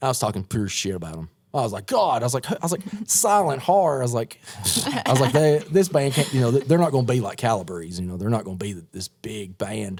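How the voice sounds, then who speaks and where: This man speaks at medium pitch and a very fast pace. His pitch swings very widely. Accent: strong East Tennessee. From East Tennessee. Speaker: horror punk musician. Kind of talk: casual chat. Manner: animated.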